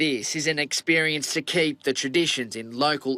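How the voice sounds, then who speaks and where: A man's fairly high voice, bright and sharp, at a moderate pace with fairly even intonation and a dry, close sound free of echo. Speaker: news reporter. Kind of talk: TV news report narration.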